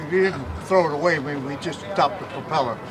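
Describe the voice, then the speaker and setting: A man's voice amid audible room echo and noticeable background noise. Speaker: WWII bomber crew veteran. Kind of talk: interview.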